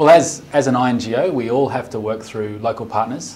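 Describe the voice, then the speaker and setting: With an Australian accent, a man talks at a medium pitch and a fairly quick pace, with ordinary pitch variation. Audible room echo and noticeable background noise surround him. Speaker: development organization director. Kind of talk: interview.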